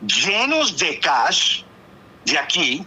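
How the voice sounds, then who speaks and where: A man with a Miami Cuban accent speaks in an animated tone over noticeable background noise. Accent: Cuban-American Spanish, Miami. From Cuban American raised in Miami, US. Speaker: former flight attendant, talk show guest. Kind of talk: casual chat.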